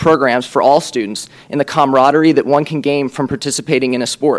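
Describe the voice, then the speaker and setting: A man with an American accent speaks very fast at a fairly high pitch with fairly even intonation, over noticeable background noise. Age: young. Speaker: school board candidate, student representative. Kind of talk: prepared speech. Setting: school board meeting. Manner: formal.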